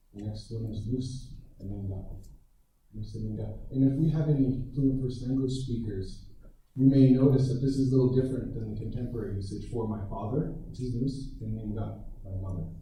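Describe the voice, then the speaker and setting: A man with an American accent speaks at a fairly quick pace and a medium pitch, his dark, mellow tone touched by vocal fry and audible room echo. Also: ordinary pitch variation, big swings in loudness. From Minnesota, US Midwest. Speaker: Ojibwe language and culture teacher. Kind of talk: lecture. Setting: presentation over Zoom to an audience.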